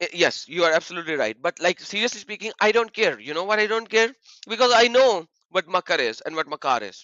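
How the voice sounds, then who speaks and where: Loud, animated speech at a fairly quick pace with lively intonation. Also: man, high pitch for a man. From Pakistan. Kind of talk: heated debate.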